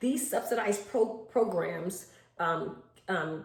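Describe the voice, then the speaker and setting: A woman speaks with audible room echo. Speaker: home daycare provider. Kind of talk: tutorial.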